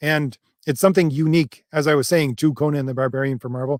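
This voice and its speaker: Fairly even intonation marks this man's fairly high-pitched voice. The sound is dry and close, with no echo. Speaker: comic book youtuber and writer. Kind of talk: live stream chat reading comments. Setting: live stream. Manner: mumbling; fast.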